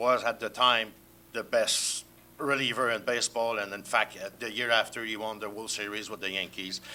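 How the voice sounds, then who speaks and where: A man with a French accent speaks at medium pitch and a moderate pace. His tone is bright and sharp, his intonation monotone and flat. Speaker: sports journalist. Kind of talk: panel discussion.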